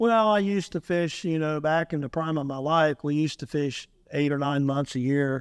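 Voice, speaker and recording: A man with an American accent and an ordinary speaking voice, fairly high in pitch, at a moderate pace with ordinary pitch variation, on a very clean recording with a silent background. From Ohio. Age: 60s. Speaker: trapper and commercial fisherman. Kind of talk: casual podcast interview.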